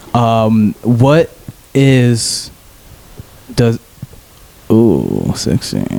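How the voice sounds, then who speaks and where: There is noticeable background noise as a man speaks at medium pitch with fairly even intonation. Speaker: podcast host. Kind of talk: casual chat. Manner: loud.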